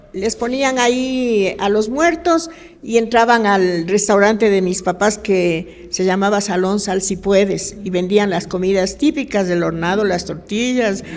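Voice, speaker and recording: Speaking at a fairly slow pace with hardly any pauses, this voice has ordinary pitch variation, audible room echo and noticeable background noise. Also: woman, medium pitch for a woman. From Ecuador, Quito (Cotocollao). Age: 60s. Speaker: retired local resident. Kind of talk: casual chat.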